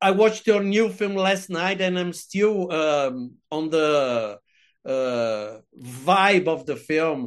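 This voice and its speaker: A man's fairly high voice, lively in intonation and very slow in pace, against a quiet background. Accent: Portuguese. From Brazil. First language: Portuguese. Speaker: podcast host and film critic. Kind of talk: casual interview; podcast intro. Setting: video call. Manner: halting.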